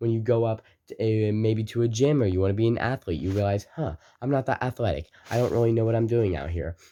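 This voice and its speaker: Over a quiet background, a dark, mellow voice speaks at a very fast pace. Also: man, medium pitch for a man, ordinary pitch variation. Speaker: motivational video creator. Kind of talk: motivational talk to camera. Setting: recording to camera. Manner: energetic.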